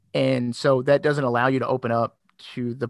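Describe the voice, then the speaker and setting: Recorded with a dry, close sound and no echo, a man with a slight Southern US accent talks at a medium pitch with fairly even intonation. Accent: slightly Southern. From Kentucky, Louisville. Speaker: former paramedic and podcaster. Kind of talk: casual chat. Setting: remote call.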